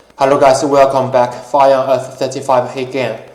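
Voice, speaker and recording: Audible room echo and noticeable background noise around a man's medium-pitched speech. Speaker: YouTuber, gun owner. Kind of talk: casual talk-show monologue. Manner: halting, many fillers.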